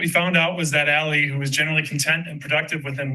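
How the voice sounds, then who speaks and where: Audible room echo surrounds a voice with fairly even intonation. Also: man. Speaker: parent speaking at public comment. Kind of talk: public comment at school board meeting. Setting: school board meeting. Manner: fast.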